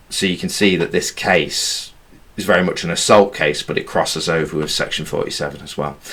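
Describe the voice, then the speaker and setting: Speaking fairly quickly, a man is heard with audible echo from the room. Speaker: law teacher. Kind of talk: lecture.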